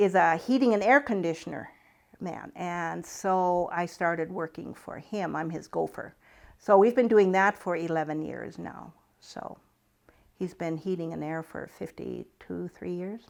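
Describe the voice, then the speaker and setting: With a North Dakota accent, a woman speaks at a fairly slow pace in a fairly low pitch with ordinary pitch variation. Her loudness swings widely, on a very clean recording with a silent background. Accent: Upper Midwest North Dakota. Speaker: retired farm woman. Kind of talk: oral history interview.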